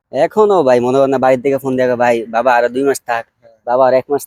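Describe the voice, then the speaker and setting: Here is a man with an ordinary speaking voice. His pitch sits in the medium range. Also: dry, close sound with no echo. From Bangladesh. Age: 20s. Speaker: migrant restaurant worker. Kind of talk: interview.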